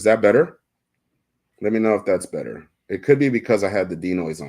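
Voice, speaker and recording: With lively intonation and vocal fry, a man speaks at a fairly quick pace in a fairly low voice, his loudness swinging widely on a very clean recording with a silent background. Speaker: fishing tackle shop livestream host. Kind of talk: casual livestream chat. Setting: live stream, indoors.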